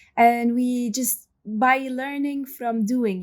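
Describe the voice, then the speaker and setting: On a very clean recording with a silent background, a woman with an Arabic accent speaks with fairly even intonation. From Yemen. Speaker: journalist and filmmaker. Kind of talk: interview.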